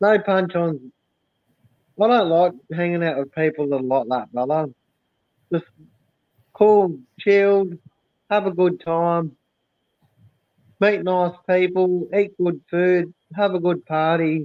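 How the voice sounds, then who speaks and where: Pitched high, a man with an Australian accent speaks at a very slow pace, with long, frequent pauses and ordinary pitch variation. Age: 30s. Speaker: live streamer. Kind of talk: casual chat. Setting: live stream.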